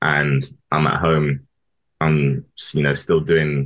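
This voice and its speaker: Very deep, low-pitched man's voice with a London accent and monotone, flat intonation. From London, Harrow. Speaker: former footballer. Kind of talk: interview. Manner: halting.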